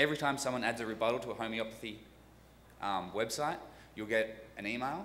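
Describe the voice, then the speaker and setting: A man talks at a very fast pace in a bright, sharp tone. His pitch varies in an ordinary way over light background noise. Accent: Australian. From Australia. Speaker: software developer, tool creator; tool creator. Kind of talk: conference workshop presentation. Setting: stage with audience. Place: hall. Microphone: podium.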